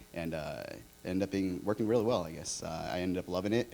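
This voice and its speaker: The speaker talks at a very fast pace with a Californian accent. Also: man. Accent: Californian American. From Orange County, California. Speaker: designer. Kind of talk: conference panel talk.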